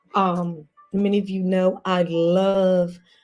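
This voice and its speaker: A woman at a medium pitch speaks with music in the background. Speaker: motivational speaker. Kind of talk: encouraging talk.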